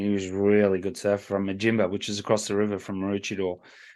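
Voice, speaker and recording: Talking very fast, a man uses a fairly low voice with an Australian accent. The background is quiet. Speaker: surf podcast co-host. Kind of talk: casual chat.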